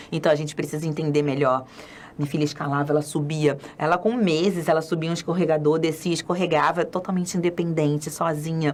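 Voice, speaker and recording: Over noticeable background noise, a woman with a very deep, low pitch talks at a fairly quick pace. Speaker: children's spiritist educator. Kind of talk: lecture. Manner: fast; animated.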